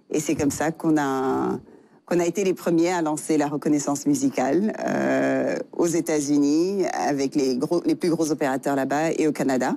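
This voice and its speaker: In a very clean recording with a silent background, a woman speaks at a moderate pace with very even loudness. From Senegal. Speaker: tech entrepreneur. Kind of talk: interview. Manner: halting, many fillers.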